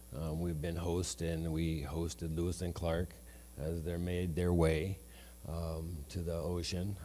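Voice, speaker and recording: A man with an American accent and a very deep, low pitch speaks fairly slowly, with audible echo in the room. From northeastern Oregon, Umatilla Indian Reservation. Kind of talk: land acknowledgement speech. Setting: event hall with audience.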